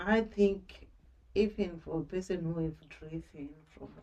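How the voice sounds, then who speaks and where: A soft-spoken woman is talking. Her pace is fairly slow. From Zimbabwe. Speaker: social worker. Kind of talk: interview. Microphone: quiet, may need more volume.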